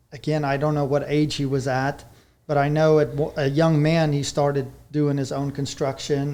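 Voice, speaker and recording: A fairly high-pitched man with a South African accent, dark and mellow in tone, at a moderate pace. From South Africa, rural Vereeniging area. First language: Afrikaans. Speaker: horse trainer. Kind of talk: podcast interview.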